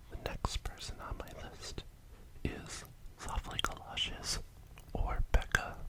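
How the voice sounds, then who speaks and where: Whispering very slowly with long, frequent pauses, a man swings widely in loudness over noticeable background noise. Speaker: ASMR creator. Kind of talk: ASMR whispered talk.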